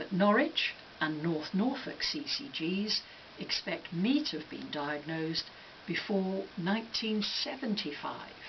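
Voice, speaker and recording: A woman's medium-pitched voice with very wide pitch swings at a fairly slow pace, with audible room echo and noticeable background noise. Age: 60s. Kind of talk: scripted commentary.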